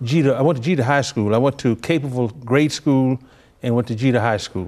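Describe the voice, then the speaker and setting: Over a quiet background, a man talks at a very fast pace in a Memphis accent. His pitch is medium, with ordinary variation. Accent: Southern US (Memphis). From Memphis, Tennessee. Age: 80s+. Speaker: retired labor leader. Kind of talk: interview. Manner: halting.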